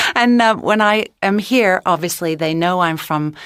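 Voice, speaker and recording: The speaker has a Mid-Atlantic American accent and lively intonation. The pace is fairly slow. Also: woman. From US (New England, Rocky Mountains). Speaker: interviewee. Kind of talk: personal account.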